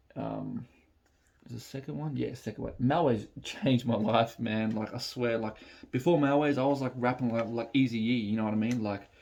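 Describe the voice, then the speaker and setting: A medium-pitched man's voice in an Australian accent, with fairly even intonation at a moderate pace. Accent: Australian, raps in own. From Melbourne, Australia (Dandenong area). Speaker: hip-hop rapper and reaction video host. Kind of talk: casual reaction chat. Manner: halting, many fillers and repeats.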